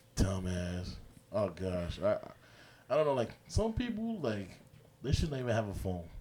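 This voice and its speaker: A man with an American accent speaks at a moderate pace, with long, frequent pauses. Noticeable background noise is present. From New York. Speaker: sports podcast co-host. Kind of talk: casual chat.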